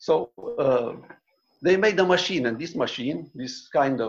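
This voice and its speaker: A man at a very slow pace, with lively intonation and vocal fry. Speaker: author. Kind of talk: book presentation. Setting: video call. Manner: halting.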